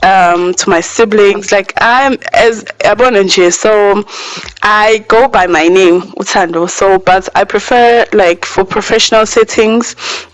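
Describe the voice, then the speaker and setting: A woman's medium-pitched voice at a fairly slow pace, with ordinary pitch variation, very even loudness and noticeable background noise. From South Africa, KwaZulu-Natal (Durban, Pinetown area). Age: 20s. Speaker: YouTuber. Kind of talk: casual vlog Q&A. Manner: casual, lots of fillers.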